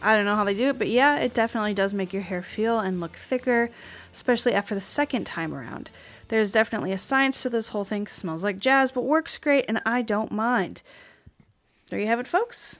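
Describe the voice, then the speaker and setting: A woman talks at a fairly quick pace with a fairly high pitch, ordinary pitch variation and a plain, everyday voice. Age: 30s. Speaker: podcast host. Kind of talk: casual comedic chat.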